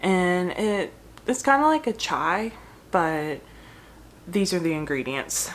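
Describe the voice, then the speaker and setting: A woman's speech unfolds at a very slow pace, with light background noise behind her. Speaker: food blogger. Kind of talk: casual vlog chat. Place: home room. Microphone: phone near.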